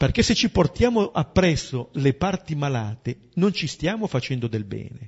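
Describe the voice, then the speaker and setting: Somewhat breathy and fairly high-pitched, a man speaks at a moderate pace with very wide pitch swings and hardly any pauses. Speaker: priest leading a Bible study. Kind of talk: Bible commentary.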